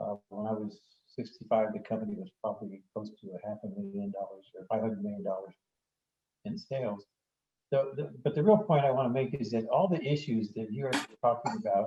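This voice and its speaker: At a fairly quick pace, a man of medium pitch speaks in a dark, mellow, somewhat breathy tone with very wide pitch swings. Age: 70s. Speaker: family business founder, audience participant. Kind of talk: casual discussion comment in webinar. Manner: halting, many fillers.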